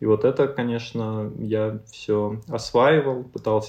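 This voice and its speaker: A man speaks at a very slow pace. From Russia, Ryazan. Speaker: creative agency founder. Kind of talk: interview. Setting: video call.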